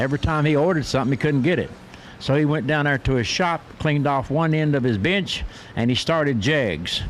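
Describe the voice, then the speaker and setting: A man talks at a fairly quick pace in a fairly high pitch with ordinary pitch variation, while noticeable background noise continues. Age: 80s+. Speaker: drag racing announcer. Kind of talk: live commentary.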